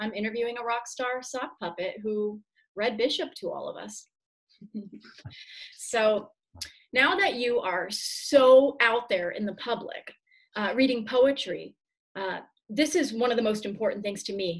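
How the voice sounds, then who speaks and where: Against a quiet background, a woman with a fairly high pitch and ordinary pitch variation speaks at a moderate pace, her loudness swinging widely. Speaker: poet. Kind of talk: casual video-call interview. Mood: warm, enthusiastic. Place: home room. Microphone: video call.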